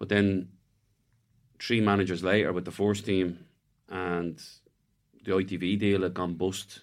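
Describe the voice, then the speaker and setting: A man with an Irish accent talks at a fairly slow pace, with long, frequent pauses, in a very deep, low voice and a flat, monotone delivery. The recording is very clean, with a silent background. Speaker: retired footballer. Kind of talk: casual chat. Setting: studio.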